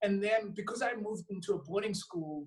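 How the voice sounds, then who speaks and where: With a Zulu accent, a man speaks with ordinary pitch variation. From South Africa. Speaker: actor. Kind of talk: interview.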